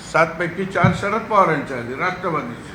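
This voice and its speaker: A man's raised, projected voice sits at a high pitch with ordinary variation. Room echo is audible, and background noise is noticeable. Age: 70s. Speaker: politician. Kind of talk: press conference.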